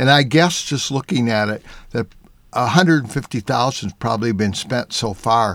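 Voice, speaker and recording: A man's normal speaking voice, medium in pitch, with ordinary pitch variation and a fairly slow pace. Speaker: automotive journalist and artist.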